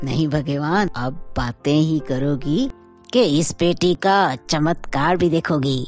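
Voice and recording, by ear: Over clear music in the background, a cartoonish character voice at a middle pitch moves at a fairly slow pace.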